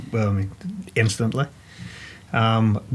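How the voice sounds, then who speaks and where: A somewhat breathy man with a Northern Irish accent talks at a fairly quick pace. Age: 40s. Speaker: ex-special forces soldier. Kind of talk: interview. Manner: halting.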